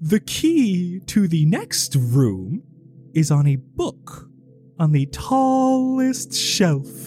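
Faint music plays in the background as a man in a put-on character voice speaks very slowly at a high pitch. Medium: actual play. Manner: cheerful, theatrical.

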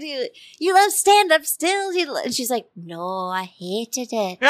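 Speaking with an American accent, a woman lets her pitch swing very widely. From Connecticut. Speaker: comedian. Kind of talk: casual interview chat. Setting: studio.

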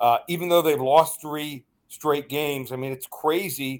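A man talks in a normal speaking voice with an American accent. His pitch is fairly high and his pace moderate. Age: 50s. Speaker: sports betting analyst. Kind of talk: radio interview.

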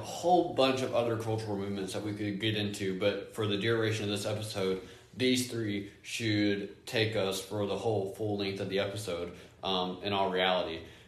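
A man at a moderate pace in a plain, everyday voice. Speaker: podcast co-host, Bible college student. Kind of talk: casual faith discussion podcast.

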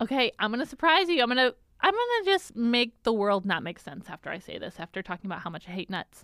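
A woman speaks at a very fast pace in a bright, sharp tone, her fairly high voice making very wide pitch swings, her delivery animated and her loudness rising and falling in big swings. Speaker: podcast co-host. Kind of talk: casual chat. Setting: podcast studio. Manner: animated, laughs often.

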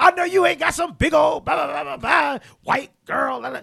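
Shouting in a put-on character voice, a man delivers his lines at a moderate pace. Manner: sassy, mocking.

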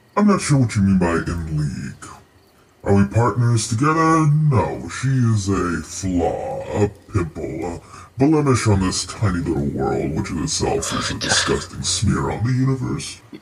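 Putting on a character voice, a man swings his fairly low pitch very widely at a moderate pace. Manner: genteel, condescending, menacing.

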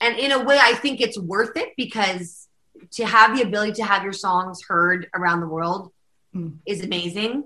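A woman with a western Canadian accent, medium pitch, a bright, sharp tone and a moderate pace. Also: ordinary pitch variation. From Calgary, Alberta, Canada. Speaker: country singer-songwriter and pianist. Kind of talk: casual interview chat.

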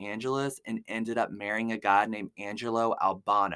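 A medium-pitched man sounds animated on a very clean recording with a silent background, dry and close with no echo. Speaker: podcast host. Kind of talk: true-crime narration. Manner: casual, chatty.

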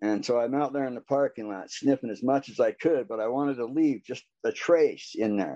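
Against a quiet background, a man with a dark, mellow tone speaks fairly quickly, with ordinary pitch variation and hardly any pauses. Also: medium pitch for a man, dry, close sound with no echo. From Utah. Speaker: recovering addict. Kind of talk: testimony. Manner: halting, many fillers.

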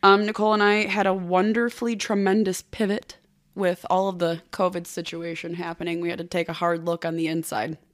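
A woman at medium pitch speaks at a fairly quick pace with fairly even intonation, in a plain, everyday voice captured in a very clean recording with a silent background. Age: 30s. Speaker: podcast co-host guest. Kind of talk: casual chat.

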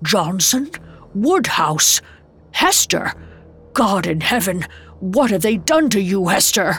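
Over music in the background, a woman of medium pitch uses a put-on character voice, speaking fairly slowly with long, frequent pauses. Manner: shaken, horrified.

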